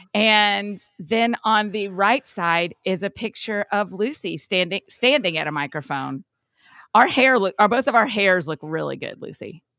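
A woman's bright, sharp voice with vocal fry at a fairly slow pace, dry and close with no echo, on a very clean recording with a silent background. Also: medium pitch for a woman, lively intonation. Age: 40s. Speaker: podcast host. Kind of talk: casual chat.

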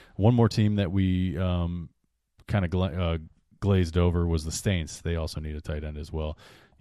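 Over a quiet background, a man with a very deep, low pitch and a dark, mellow tone speaks at a moderate pace with fairly even intonation. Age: 30s. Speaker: fantasy football podcast co-host. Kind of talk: casual chat.

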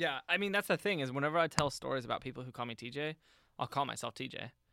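A man's animated, bright and sharp voice, fairly high-pitched with ordinary pitch variation, at a very fast pace, dry and close with no echo, on a very clean recording with a silent background. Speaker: podcast host who teaches a topic. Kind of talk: casual comedic chat, explaining a topic. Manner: animated, laughs often.

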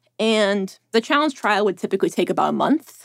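A woman at medium pitch has a plain, everyday voice with lively intonation. The recording is very clean, with a silent background and a dry, close sound with no echo. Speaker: reporter. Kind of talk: casual interview conversation. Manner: rambling, heavy use of filler words.

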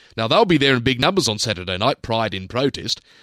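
Recorded very cleanly over a silent background, a man's bright, sharp tone comes through with a dry, close sound and no echo. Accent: Australian. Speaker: radio host. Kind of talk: opinion commentary.

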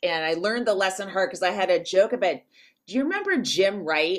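With an American accent, a woman talks at a fairly quick pace and with lively intonation. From US West Coast, San Francisco Bay Area. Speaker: comedian and comedy writer. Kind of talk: casual chat.

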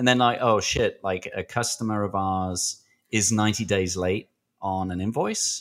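A man with a British accent speaks at a moderate pace, his pitch fairly low and his intonation fairly even. The recording is very clean, with a silent background. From Britain. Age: 40s.

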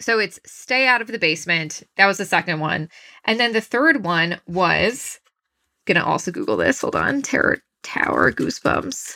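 With an American accent, the speaker talks at a moderate pace in a bright, sharp tone with vocal fry and very wide pitch swings. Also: woman, medium pitch for a woman. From Long Island, New York. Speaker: podcast co-host. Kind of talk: casual chat.

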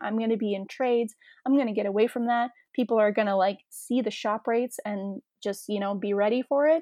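A woman with a Canadian accent, fairly high in pitch, with ordinary pitch variation, at a moderate pace, in an unremarkable speaking voice. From Toronto, Canada. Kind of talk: casual interview chat.

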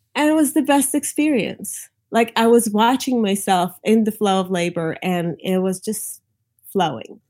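A woman speaks with an American accent and a fairly high pitch. She has a normal speaking voice. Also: lively intonation, moderate pace, very clean recording, silent background. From New York. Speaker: doula and lactation consultant. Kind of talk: interview, telling her birth story.

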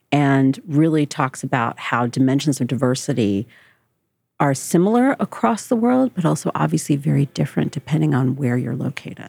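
With an American accent, a woman with a very deep, low pitch, vocal fry and a dark, mellow tone speaks at a moderate pace with lively intonation and very even loudness, in a dry, close sound with no echo. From New Jersey, US. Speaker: diversity and inclusion specialist. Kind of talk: interview.

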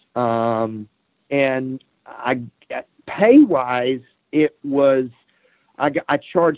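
A man with a medium pitch talks in an ordinary speaking voice, using ordinary pitch variation. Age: 50s. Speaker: automotive sales trainer. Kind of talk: interview.

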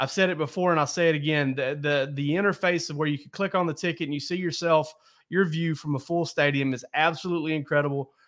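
In a very clean recording with a silent background, a man talks at a very fast pace and fairly high pitch, his intonation fairly even but his loudness swinging widely. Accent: Southern US. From US South (south Georgia). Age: 40s. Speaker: sports podcast host. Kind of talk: casual chat.

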